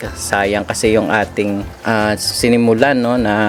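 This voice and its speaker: Music plays in the background. A man speaks at a fairly low pitch. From Western Visayas, Philippines (Ilonggo). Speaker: fish hobbyist vlogger. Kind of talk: casual vlog talk. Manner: casual, hesitant with fillers.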